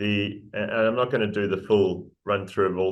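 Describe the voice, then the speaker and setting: Talking at a fairly quick pace, a man with a New Zealand accent speaks in a fairly low voice. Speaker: mining company executive. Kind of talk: interview presentation.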